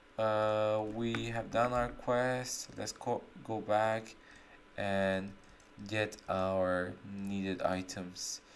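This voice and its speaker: The delivery is very slow. A non-native accent colors the speech. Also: very clean recording, silent background. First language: not English. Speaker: gaming streamer. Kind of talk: gameplay commentary. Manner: casual, halting with self-corrections.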